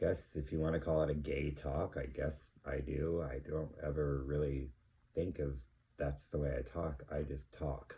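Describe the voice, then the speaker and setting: A man speaks in a very deep, low voice with flat, monotone intonation. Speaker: vinyl record collector, channel host. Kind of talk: casual vlog monologue. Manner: halting, many fillers.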